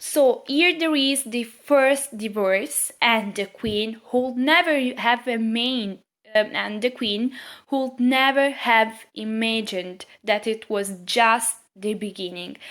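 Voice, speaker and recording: A woman with a non-native accent speaks at a very slow pace in a fairly high pitch with a bright, sharp tone. The recording is very clean, with a silent background. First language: not English. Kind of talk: casual talk to camera. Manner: hesitant, many fillers.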